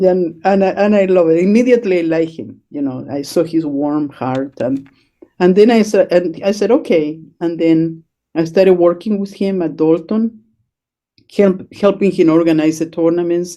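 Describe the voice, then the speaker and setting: A woman with a Spanish accent talks at a moderate pace in a fairly low, dark, mellow voice with ordinary pitch variation. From Chile. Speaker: chess educator. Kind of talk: interview. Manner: hesitant, many fillers.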